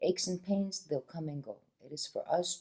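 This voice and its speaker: This voice is soft-spoken with a dark, mellow tone. It moves at a moderate pace. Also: woman. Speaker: wellness practitioner. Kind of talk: casual conversation.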